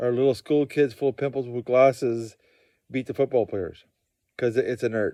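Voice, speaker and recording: In a dry, close recording with a quiet background, a man speaks at a medium pitch in a dark, mellow tone with fairly even intonation. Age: 60s. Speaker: amateur arm wrestler and trapper. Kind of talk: casual monologue vlog. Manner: halting, with false starts and repetitions.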